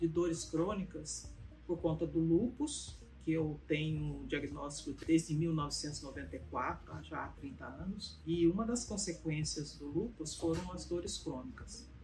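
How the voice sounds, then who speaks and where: With audible room echo, a woman talks at a fairly slow pace with hardly any pauses. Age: 70s. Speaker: patient giving testimonial. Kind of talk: testimony. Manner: halting, with many fillers.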